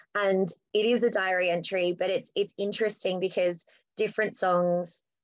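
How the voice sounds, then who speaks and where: A woman's medium-pitched voice with an Australian accent, at a moderate pace. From Australia, New South Wales. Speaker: rock band singer. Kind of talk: casual interview chat.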